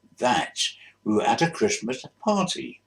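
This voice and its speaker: Speaking in a London accent, a man talks at a moderate pace. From South East London. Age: 80s+. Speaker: retired bus driver. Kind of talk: casual reminiscence to camera. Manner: hesitant, rambling.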